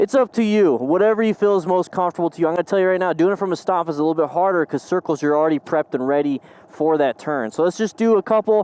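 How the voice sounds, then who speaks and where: A man's very fast, high-pitched speech with ordinary pitch variation and a dry, close sound with no echo. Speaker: motorcycle riding instructor. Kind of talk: tutorial. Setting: outdoors.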